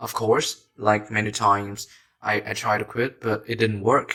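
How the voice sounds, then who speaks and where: A man speaks with a Vietnamese accent and a fairly low pitch. His intonation is monotone and flat. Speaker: self-help YouTuber. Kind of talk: motivational talk.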